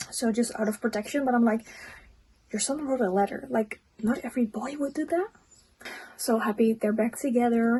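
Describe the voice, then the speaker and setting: Using a non-native accent, a woman with a fairly high pitch and a dark, mellow tone talks at a moderate pace with ordinary pitch variation and long, frequent pauses. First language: not English. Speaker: book reviewer, friend of the host. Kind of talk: casual book review.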